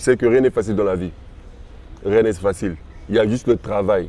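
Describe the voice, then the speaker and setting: A man with a dark, mellow tone talks at a fairly quick pace with lively intonation. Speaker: rapper. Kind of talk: interview. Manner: fast.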